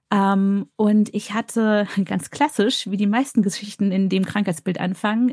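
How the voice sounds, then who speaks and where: A woman speaks at a fairly slow pace in a somewhat breathy, medium-pitched voice, and the sound is dry and close with no echo. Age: 30s. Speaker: anesthesiologist and cancer patient. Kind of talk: interview, personal testimony.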